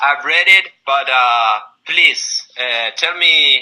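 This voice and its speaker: This is a man speaking. He has an Argentine accent. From Argentina. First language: Spanish. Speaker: recruiter. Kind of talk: job interview.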